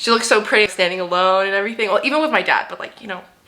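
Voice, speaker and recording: With noticeable background noise present, a woman talks at a medium pitch. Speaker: lifestyle vlogger. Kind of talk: casual chat. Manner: fast; animated.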